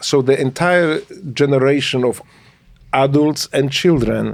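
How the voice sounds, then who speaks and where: In fairly even intonation, a man with a fairly high pitch speaks at a fairly slow pace. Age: 60s. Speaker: navy veteran, former political prisoner. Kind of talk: interview, life story. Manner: halting, many fillers.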